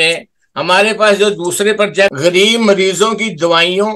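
Against a quiet background, a man uses a raised, projected voice with a high pitch and a bright, sharp tone, speaking very slowly with fairly even intonation. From Pakistan. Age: 80s+. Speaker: charity volunteer and Urdu writer. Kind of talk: interview. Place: home room. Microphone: video call.

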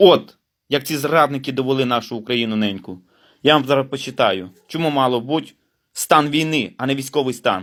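On a very clean recording with a silent background, a man at medium pitch talks at a moderate pace with ordinary pitch variation. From western Ukraine, Rivne region. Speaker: independent journalist. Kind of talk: angry political rant to camera.

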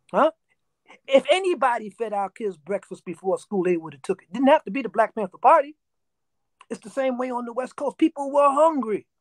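With a New York accent, a man speaks in an animated tone with very wide pitch swings, the sound dry with no echo and the background quiet. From New York, South Bronx. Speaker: interview guest. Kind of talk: interview storytelling. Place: home room. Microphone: video call.

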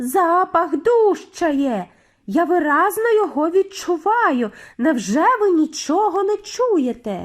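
A woman puts on a shrill character voice at an extremely high pitch. She speaks at a fairly slow pace. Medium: read story. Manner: shrill, insistent.

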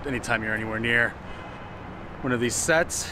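At a very fast pace, the monotone, flat speech comes through in a dry sound with no echo over noticeable background noise. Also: man. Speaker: vlogger. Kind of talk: casual vlog chat. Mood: wry, joking. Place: street. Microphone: phone near.

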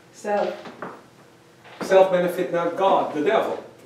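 Audible room echo surrounds a man talking at a moderate pace. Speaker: pastor. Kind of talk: sermon. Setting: church. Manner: animated. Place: church. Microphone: camera far.

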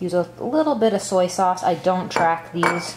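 With faint background noise, a woman speaks at a moderate pace and fairly low pitch, with ordinary pitch variation.

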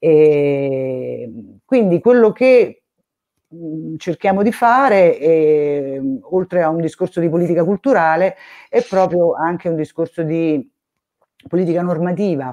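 A woman with a fairly low pitch and a dark, mellow tone, at a very slow pace with long, frequent pauses, over a quiet background. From Rome; Italy. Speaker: music education association president. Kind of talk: casual chat. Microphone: video call.

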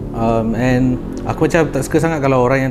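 A man talks at a very fast pace with fairly even intonation. Noticeable background noise is present. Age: 20s. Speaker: young trader; podcast guest. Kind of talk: casual chat. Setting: studio. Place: studio. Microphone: lapel.

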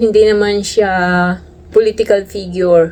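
With fairly even intonation at a medium pitch, a woman talks through noticeable background noise. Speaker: overseas worker vlogger. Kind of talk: casual vlog monologue.

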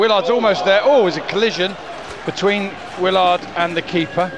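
A man is shouting over noticeable background noise. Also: dry sound with no echo. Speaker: football match commentator. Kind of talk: live football commentary, rapid play-by-play of passes and chances. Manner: excitable, bursts into shouts of 'Goal!' and 'Yeah! Oh!' at key moments; quick-fire clipped phrases with frequent 'uh' fillers and self-corrections. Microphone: headset.

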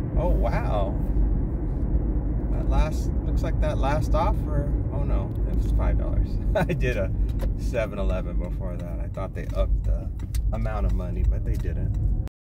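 Amid loud background noise, the speech comes at a moderate pace with long, frequent pauses, the sound dry with no echo. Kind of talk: casual vlog chat. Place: car.

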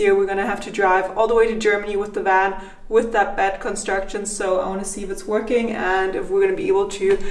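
Very fast, monotone, flat speech with hardly any pauses and audible room echo. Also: woman. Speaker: vlogger. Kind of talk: casual vlog chat. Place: home room. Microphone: phone near.

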